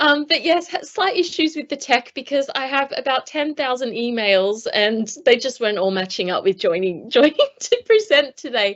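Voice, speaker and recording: Very wide pitch swings mark this voice with an Australian accent. It moves at a moderate pace with hardly any pauses. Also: woman, high pitch for a woman. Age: 40s. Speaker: former Paralympic athlete, speaker. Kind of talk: conference talk. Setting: video call. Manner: hesitant, many fillers.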